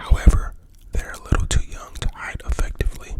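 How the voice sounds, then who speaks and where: Someone is whispering at a moderate pace. There is noticeable background noise. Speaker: ASMR creator. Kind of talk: bedtime horror story reading. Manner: whispered; soft-spoken.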